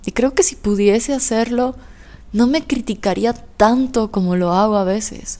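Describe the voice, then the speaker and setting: The speech moves at a fairly slow pace, with ordinary pitch variation. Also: woman. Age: 20s. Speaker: podcast host. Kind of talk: solo podcast monologue.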